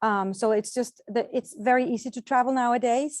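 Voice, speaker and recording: In a Danish accent, a woman speaks with fairly even intonation, the sound dry and close with no echo against a quiet background. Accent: non-American (Danish). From Denmark, Copenhagen. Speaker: travel agent, tour organizer. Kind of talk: informational presentation. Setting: video call. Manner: hesitant with fillers.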